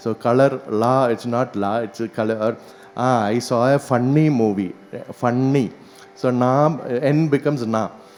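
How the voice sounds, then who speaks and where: A man talks fairly slowly in a strong Keralan accent. His intonation is fairly even. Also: medium pitch for a man. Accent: heavy Malayalam. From Kerala, India. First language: Malayalam.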